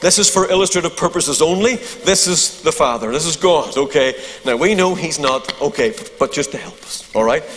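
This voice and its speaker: Over noticeable background noise, a man with a Northern Irish accent talks at a fairly quick pace in a high pitch, with lively intonation. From Northern Ireland. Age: 50s. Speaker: preacher. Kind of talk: sermon. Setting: church. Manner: humorous.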